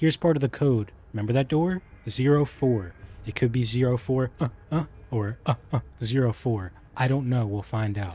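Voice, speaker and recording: Somewhat breathy with a dark, mellow tone, a man speaks at medium pitch and a moderate pace with ordinary pitch variation. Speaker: gaming streamer. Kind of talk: live gameplay commentary. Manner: soft-spoken; quiet, doesn't project.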